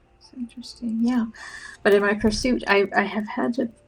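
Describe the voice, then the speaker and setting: Soft-spoken and mumbling, a woman talks with a Canadian accent and vocal fry. Her pitch is fairly high, with ordinary variation. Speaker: counselor and artist streaming a body doubling session. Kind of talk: casual live-stream chat while painting. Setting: live video stream.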